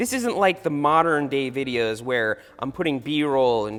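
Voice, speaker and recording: The speaker, with a slight Long Island accent, moves at a moderate pace through very wide pitch swings. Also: man. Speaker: YouTuber, mountain bike creator. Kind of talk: casual video commentary.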